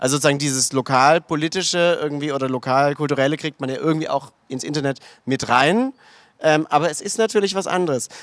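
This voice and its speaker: Against a quiet background, a man talks very fast with a dry sound and no echo. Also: fairly high pitch for a man, ordinary pitch variation. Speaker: panel moderator. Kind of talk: panel discussion. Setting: stage with audience. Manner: hesitant, many fillers. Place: stage.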